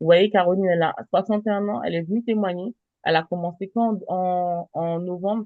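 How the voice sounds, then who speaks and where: At a fairly quick pace, a woman with a medium pitch speaks in an ordinary speaking voice. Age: 30s. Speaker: travel business presenter. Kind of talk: sales pitch.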